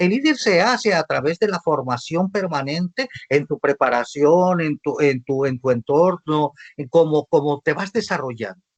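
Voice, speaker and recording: A man's ordinary speaking voice, fairly high in pitch, with lively intonation at a moderate pace, in a dry, close sound with no echo. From Mexico, Sinaloa. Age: 60s. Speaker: visual artist and arts coordinator. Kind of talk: panel talk.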